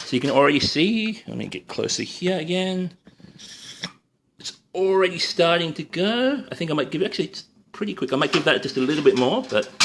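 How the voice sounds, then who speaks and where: Lively in intonation, a man speaks with an Australian accent. His pitch is high and his pace fairly quick. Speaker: cooking livestreamer and freelance photographer. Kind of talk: live-stream cooking demo with viewer Q&A. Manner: casual, hesitant with many fillers.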